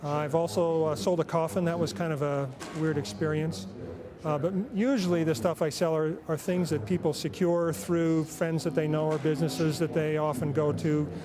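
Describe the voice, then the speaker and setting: Amid noticeable background noise, a man speaks at a moderate pace in a fairly high pitch, with ordinary pitch variation. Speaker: professional charity auctioneer. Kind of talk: interview answer, casual conversational talk about his career.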